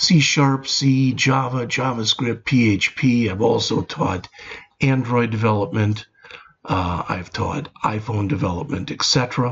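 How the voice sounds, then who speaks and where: Here a man in a normal speaking voice talks at a fairly slow pace, medium in pitch, with ordinary pitch variation. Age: 60s. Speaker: retired programming instructor. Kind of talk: casual video introduction.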